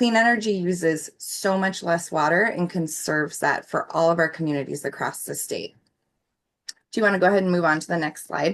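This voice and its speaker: With an American accent, a woman speaks in an ordinary speaking voice at fairly low pitch, keeping a moderate pace and ordinary pitch variation. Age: 40s. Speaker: clean energy advocate. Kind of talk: presentation with slides.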